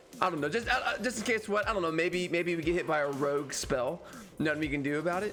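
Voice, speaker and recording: A man talks at a very fast pace in a high pitch, with lively intonation and very even loudness. Music plays in the background. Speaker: gaming YouTuber. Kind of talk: gameplay commentary. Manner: fast, repetitive; casual.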